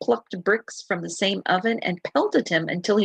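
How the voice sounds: This is a natural reading voice with lively intonation.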